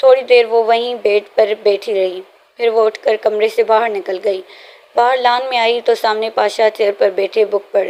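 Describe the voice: Just plain reading aloud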